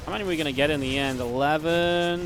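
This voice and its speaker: The voice has an animated tone. Music plays in the background. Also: man. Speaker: esports commentator. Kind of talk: live commentary.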